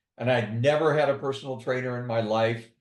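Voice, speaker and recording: Room echo can be heard clearly. A man talks at a moderate pace through it. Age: 70s. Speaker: retiree who lifts weights, interviewee. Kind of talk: interview.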